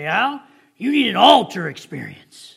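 A man uses a put-on character voice pitched high. He speaks in a raised, projected voice at a moderate pace. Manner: forceful, earnest.

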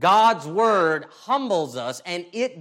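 A man's pitch swings very widely. The recording is very clean, with a silent background. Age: 40s. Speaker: pastor. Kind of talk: sermon.

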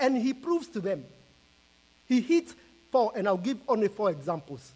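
A man with a high voice swings his pitch very widely, with noticeable background noise in the recording. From Kenya. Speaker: missionary preacher. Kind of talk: sermon.

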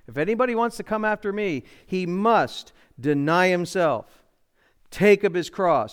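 On a very clean recording with a silent background, a man with a high-pitched voice speaks at a fairly slow pace with lively intonation. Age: 60s. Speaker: pastor. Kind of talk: sermon.

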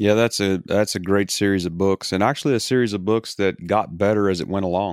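A man talks at a fairly quick pace in an ordinary speaking voice, his pitch fairly low and his intonation fairly even. The recording is very clean, with a silent background. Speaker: pastor. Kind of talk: casual chat.

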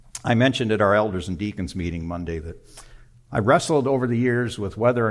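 A man with an ordinary speaking voice, fairly low in pitch, with ordinary pitch variation. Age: 60s. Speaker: pastor. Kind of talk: sermon. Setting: church.

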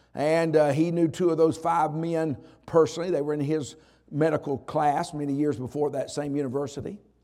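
A man with a Southern US accent speaks fairly quickly in a fairly high pitch with a dark, mellow tone. His intonation is fairly even, and the recording is very clean with a silent background. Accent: Southern American. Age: 60s. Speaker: pastor. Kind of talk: sermon. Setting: church chapel service.

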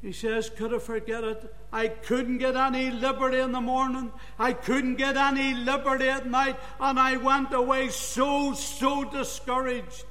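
Pitched extremely high, a man delivers a raised, projected voice in a flat monotone at a moderate pace. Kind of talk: sermon. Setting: church. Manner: fervent, earnest preaching delivery with reverent, emphatic rhythm.

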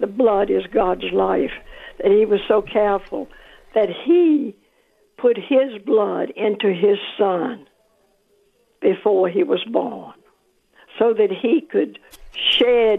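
A woman talks at a very slow pace. Long, frequent pauses break up her speech. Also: very even loudness. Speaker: caller. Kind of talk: casual chat. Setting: phone call.

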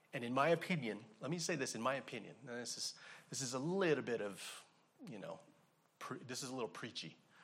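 Against audible room echo, a man of medium pitch talks at a very fast pace with lively intonation and long, frequent pauses. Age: 40s. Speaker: pastor. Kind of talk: sermon.

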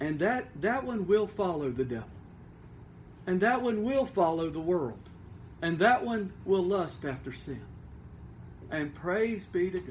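A man's high voice at a fairly slow pace, with very wide pitch swings, long, frequent pauses and audible room echo. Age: 40s. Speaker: pastor. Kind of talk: sermon.

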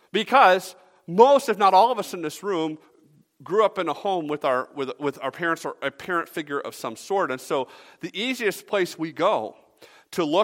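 A man with a high pitch on a very clean recording, silent background, dry and close with no echo. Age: 30s. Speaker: pastor. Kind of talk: sermon.

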